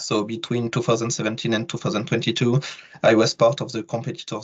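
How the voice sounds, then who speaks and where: A man with a French accent speaks at a very fast pace in a somewhat breathy voice of medium pitch. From France. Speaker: sports event professional, alumnus. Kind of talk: webinar panel talk.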